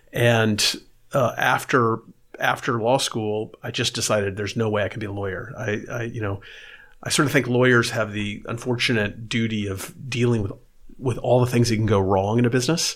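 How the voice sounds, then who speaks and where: In a very clean recording with a silent background, a man with an American accent uses an ordinary speaking voice at medium pitch, a moderate pace and fairly even intonation. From San Antonio, Texas. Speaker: venture investor. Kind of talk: interview.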